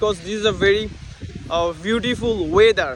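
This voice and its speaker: A high-pitched man with a Bangladeshi accent and ordinary pitch variation, over noticeable background noise. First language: Bengali. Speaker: English learner vlogger. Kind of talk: casual vlog speaking practice. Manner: halting, many fillers.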